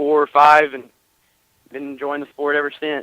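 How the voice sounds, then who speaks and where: In a Texas accent, a man talks at a very fast pace with a fairly high pitch and a bright, sharp tone, the sound dry and close with no echo. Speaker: sprint car racing driver. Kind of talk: radio interview. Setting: phone call.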